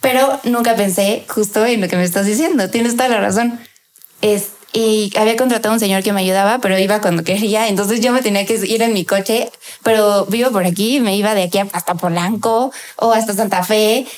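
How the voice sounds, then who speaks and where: This voice moves at a fairly quick pace with fairly even intonation and very even loudness. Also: woman, fairly high pitch for a woman. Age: 20s. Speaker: chef and food influencer. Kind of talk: interview.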